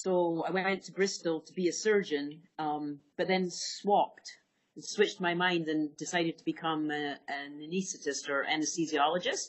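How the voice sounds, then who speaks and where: A woman with a Scottish accent speaks in a fairly low pitch with fairly even intonation. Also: moderate pace, big swings in loudness. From Scotland. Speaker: veterinary anesthesiologist. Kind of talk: interview.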